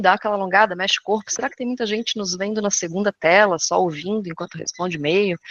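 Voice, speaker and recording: The speech runs at a very fast pace. The sound is dry and close with no echo, over a quiet background. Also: woman. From southern Brazil, Florianópolis. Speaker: corporate education consultant. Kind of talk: webinar presentation. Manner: animated.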